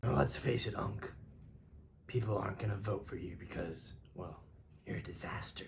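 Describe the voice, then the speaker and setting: A man whispers in a put-on character voice that sounds raspy, moving at a moderate pace. He leaves long, frequent pauses. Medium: audio drama. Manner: cocky, joking.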